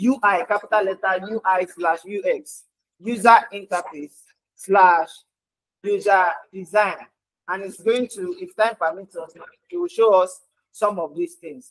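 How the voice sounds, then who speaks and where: Over a quiet background, the speech unfolds at a fairly slow pace. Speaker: church youth session moderator. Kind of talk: moderating a church youth session. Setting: church hall. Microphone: video call.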